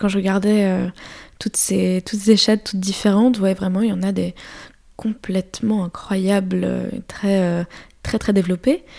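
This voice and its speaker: On a very clean recording with a silent background, a woman speaks at a fairly slow pace in a dark, mellow tone. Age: 20s. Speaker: street artist. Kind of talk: interview. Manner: halting.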